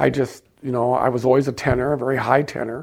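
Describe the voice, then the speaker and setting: A man speaks at a fairly quick pace with vocal fry. His pitch is medium. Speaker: liturgical composer. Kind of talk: interview. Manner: halting.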